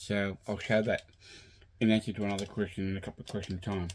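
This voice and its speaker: In an Australian accent, a man talks at a fairly quick pace with a fairly low pitch and monotone, flat intonation on a very clean recording with a silent background. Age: 60s. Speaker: vinyl collector YouTuber. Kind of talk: casual video monologue. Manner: halting, many fillers.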